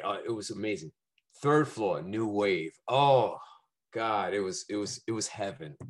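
A fairly low-pitched man with a New York accent, lively intonation and a fairly slow pace. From Brooklyn, New York City. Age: 50s. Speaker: musician. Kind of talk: casual chat. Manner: animated.

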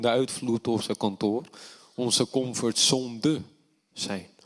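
A plain, everyday voice from a man at medium pitch, fairly slow in pace with ordinary pitch variation, in a dry, close sound with no echo on a very clean recording with a silent background. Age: 30s. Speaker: preacher. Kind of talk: sermon.

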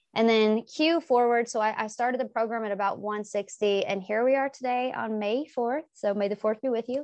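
A woman with an unremarkable speaking voice in an American accent, fairly high in pitch, fairly even in intonation, at a fairly quick pace with hardly any pauses, against a quiet background. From US South. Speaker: English professor. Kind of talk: casual interview.

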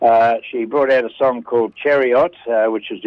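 This man talks at a moderate pace in a medium pitch, his intonation fairly even. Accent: Australian. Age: 70s. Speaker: radio segment presenter. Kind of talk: casual chat.

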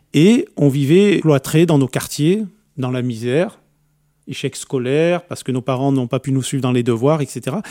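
A man speaks at a fairly slow pace in a fairly high pitch with a dark, mellow tone and ordinary pitch variation, in a very clean recording that has a silent background and a dry, close sound with no echo. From France, Algerian family, grew up in the suburbs. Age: 50s. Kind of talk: testimony. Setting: radio studio.

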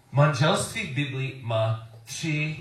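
A man with an English accent speaks at a very slow pace in a fairly high, somewhat breathy voice with ordinary pitch variation. The recording has audible room echo. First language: English (speaking Czech). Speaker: preacher. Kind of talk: sermon. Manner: halting.

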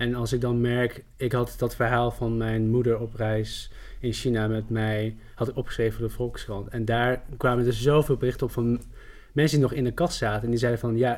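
A man talks in a flat monotone at a medium pitch. The recording is very clean, with a silent background. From Netherlands. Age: 30s. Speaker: journalist and writer. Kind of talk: podcast interview.

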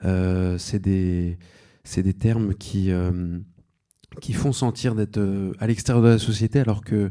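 The voice has a dark, mellow tone with fairly even intonation. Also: man, very clean recording, silent background. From France, Seine-et-Marne. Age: 30s. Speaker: novelist. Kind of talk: panel discussion.

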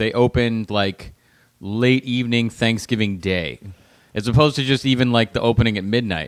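An unremarkable speaking voice belongs to a man with an American accent who talks at a moderate pace, medium in pitch, with ordinary pitch variation. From Los Angeles, US. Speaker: comedian. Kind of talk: casual chat.

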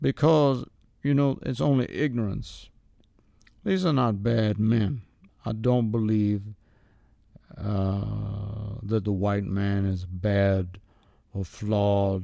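A man's dark, mellow, fairly low voice at a very slow pace, with ordinary pitch variation and long, frequent pauses. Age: 80s+. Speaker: elderly resident interviewed about race relations. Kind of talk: interview.

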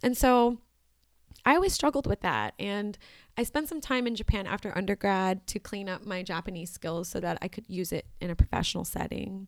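Speaking with an American accent at a fairly quick pace, a woman with an ordinary speaking voice and a medium pitch shows ordinary pitch variation in a very clean recording with a silent background. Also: dry, close sound with no echo. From Washington D.C. suburbs. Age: 20s. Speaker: farmer and artist. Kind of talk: casual interview.

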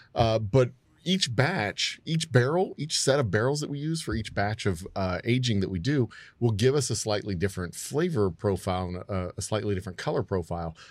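A man with a Texan accent speaks at a fairly quick pace, his medium pitch rising and falling in lively intonation. The recording is very clean, with a silent background. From Texas, Houston. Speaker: distillery owner. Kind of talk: casual chat. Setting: studio.

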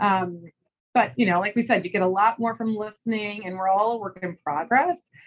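Here a woman with an unremarkable speaking voice talks at a medium pitch with ordinary variation. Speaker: sports media executive. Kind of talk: interview conversation. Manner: fast talker.

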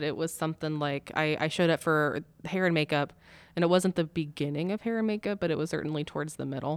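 Her voice very deep and low in pitch, a woman talks at a fairly quick pace with ordinary pitch variation in a very clean recording with a silent background. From small rural town. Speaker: wedding photographer. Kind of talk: casual chat. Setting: recording room with podcast mics.

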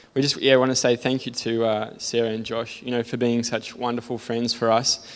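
Speaking at a fairly quick pace with an Australian accent, a man keeps a medium pitch and a monotone, flat intonation. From Sydney, Australia. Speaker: church member giving testimony. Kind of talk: testimony. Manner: self-deprecating, nervous.

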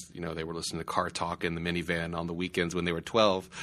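Against a quiet background, a man speaks with a very deep, low pitch and a bright, sharp tone. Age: 30s. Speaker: podcast host, journalism lab director. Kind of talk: interview. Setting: recorded in a house.

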